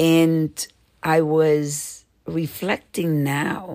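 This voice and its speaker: This woman speaks with a very deep, low pitch. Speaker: podcaster. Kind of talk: personal reflection monologue.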